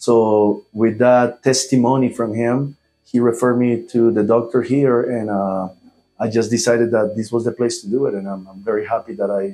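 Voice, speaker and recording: A man speaks with a Spanish accent in a medium pitch. His tone is dark and mellow, his intonation fairly even. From Colombia. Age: 40s. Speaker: airline pilot, patient. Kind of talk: testimony. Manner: halting, many fillers.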